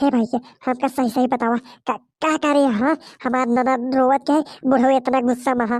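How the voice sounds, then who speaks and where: A woman uses a cartoonish character voice, high-pitched with monotone, flat intonation at a moderate pace. The recording is very clean with a silent background and a dry, close sound with no echo. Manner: stammering, agitated.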